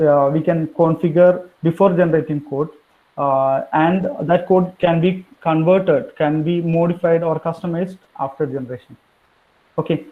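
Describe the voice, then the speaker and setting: A high-pitched male voice, fairly even in intonation, at a moderate pace. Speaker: engineering consultant, workshop speaker. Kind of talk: technical workshop lecture. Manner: halting, many fillers.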